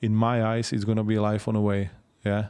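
In a Czech accent, the voice has a dark, mellow tone and monotone, flat intonation against a quiet background. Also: man. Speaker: MMA commentator and promoter. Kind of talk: interview. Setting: in person.

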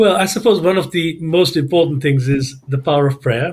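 A man's voice is somewhat breathy. He moves at a fairly quick pace with ordinary pitch variation. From Kenya (Mombasa), then London. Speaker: businessman and author. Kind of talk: interview. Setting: remote call from home.

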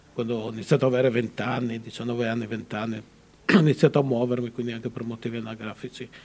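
A man at medium pitch, very fast, with hardly any pauses, monotone, flat intonation and big swings in loudness. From Friuli, Italy (Udine). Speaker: author. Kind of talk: interview.

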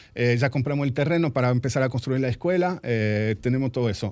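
Over a quiet background, a man talks at medium pitch. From France, born in Argentina. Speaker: carpentry business owner. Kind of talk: radio interview. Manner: halting.

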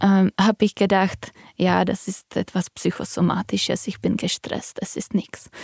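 At a fairly slow pace, a woman with a Czech accent and medium pitch speaks in a dry, close sound with no echo. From Czech Republic. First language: Czech (speaking German). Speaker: physician and patient. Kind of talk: personal testimony in interview.

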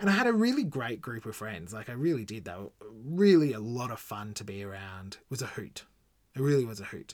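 A man with an Australian accent talks fairly quickly at medium pitch, his intonation lively. His loudness swings widely. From Australia, Gold Coast. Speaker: podcast host. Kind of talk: personal storytelling monologue. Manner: casual, halting with fillers.

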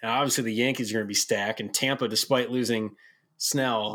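In an American accent, the speaker has an unremarkable speaking voice, a moderate pace and fairly even intonation, on a very clean recording with a silent background. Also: man. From Rochester, New York. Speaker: guest. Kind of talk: casual chat.

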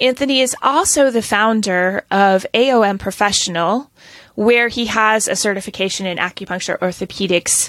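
She has a plain, everyday voice at medium pitch. This woman keeps a moderate pace with ordinary pitch variation. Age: 50s. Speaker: acupuncturist and podcast host. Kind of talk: casual interview.

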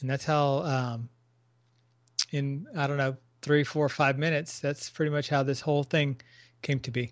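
A man with fairly high pitch talks at a moderate pace. He leaves long, frequent pauses. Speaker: podcast co-host, guest. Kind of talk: casual interview. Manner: enthusiastic, hesitant with fillers.

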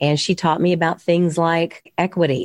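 A woman with an American accent speaks in a plain, everyday voice, fairly low in pitch. Her pace is moderate, and the background is quiet. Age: 60s. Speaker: mortgage loan officer. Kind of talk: interview.

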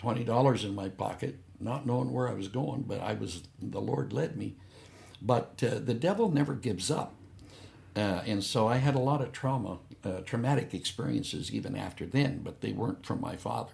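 Vocal fry runs through a man's medium-pitched voice as he speaks at a moderate pace with lively intonation. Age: 70s. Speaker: missionary pastor. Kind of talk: interview testimony.

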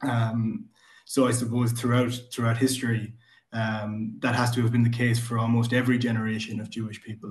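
A man's medium-pitched, somewhat breathy voice at a moderate pace, in a monotone with flat intonation. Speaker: book club member. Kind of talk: casual chat.

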